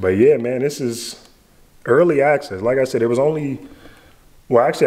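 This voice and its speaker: A man speaks at a moderate pace. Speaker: food reviewer. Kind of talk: casual vlog chat.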